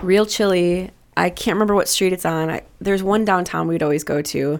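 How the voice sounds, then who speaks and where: A woman with a plain, everyday voice talks at a medium pitch with fairly even intonation. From Milwaukee, Wisconsin. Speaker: pastry chef and restaurant co-owner. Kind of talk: casual interview chat. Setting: studio.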